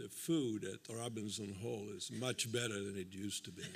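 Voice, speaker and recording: A man with a fairly low voice and ordinary pitch variation talks at a moderate pace while noticeable noise runs in the background. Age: old. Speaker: architecture and urbanism professor. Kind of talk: panel discussion.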